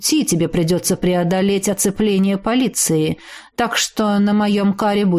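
The reader's voice is unforced. Intonation remains fairly even throughout.

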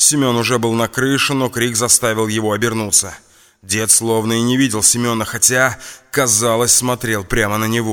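The clip presents an unforced reading voice.

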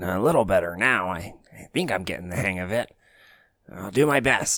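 Speaking at a moderate pace, a man uses lively intonation in a fairly low voice. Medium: actual play. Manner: nervous, hesitant, eager to help.

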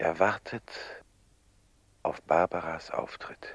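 Whispering in a put-on character voice, a man speaks at a slow pace.

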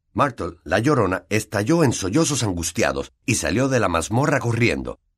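Reading aloud in an unforced voice

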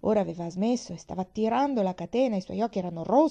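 Reading in an unforced voice.

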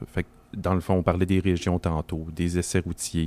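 A man is speaking. His pitch is very deep and low. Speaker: volunteer association regional director. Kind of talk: casual chat. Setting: makeshift studio at an event.

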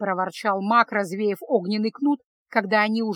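Someone is reading aloud in a natural voice. The intonation stays fairly even over a quiet background.

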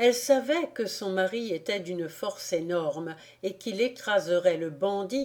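Read aloud in a natural voice. The intonation is lively.

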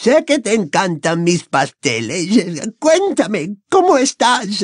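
A quiet background behind plain reading aloud

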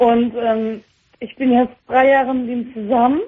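Speaking fairly slowly, a woman with a fairly high pitch and a slightly husky edge keeps her pitch movement small.

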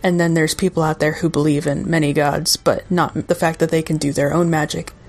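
Against noticeable background noise, a woman speaks in a fairly low voice with fairly even intonation. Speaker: podcast host. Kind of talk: guided meditation intro then casual interview.

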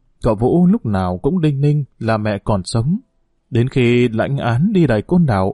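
The voice is plain reading aloud with lively intonation. The background is quiet.

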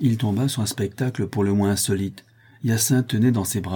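Just plain reading aloud

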